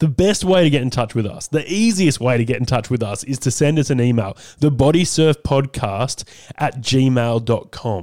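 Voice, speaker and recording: The speaker has an Australian accent and lively intonation. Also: man. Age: 30s. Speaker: radio talk show host. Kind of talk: talkback radio. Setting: studio.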